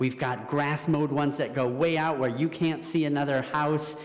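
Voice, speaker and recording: The speech moves at a moderate pace. Noticeable background noise and audible room echo are present. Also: man. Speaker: environmental educator. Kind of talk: talk to audience. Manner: loud.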